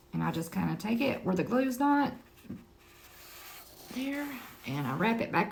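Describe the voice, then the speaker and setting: Over noticeable background noise and audible room echo, a woman speaks at a medium pitch. Her pitch swings very widely. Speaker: crafter selling handmade items. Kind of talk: tutorial. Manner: casual, chatty.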